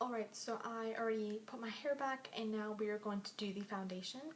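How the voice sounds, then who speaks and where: A woman talks at a moderate pace in a fairly high pitch. Noticeable background noise sits behind her. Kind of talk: makeup tutorial, casual talk to camera. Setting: recorded late at night at home.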